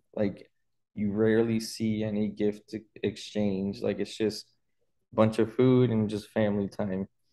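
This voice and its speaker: This man talks at a fairly slow pace. His intonation stays monotone and flat. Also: fairly low pitch for a man. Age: 20s. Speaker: finance podcast co-host; podcast co-host. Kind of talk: casual chat. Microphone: video call.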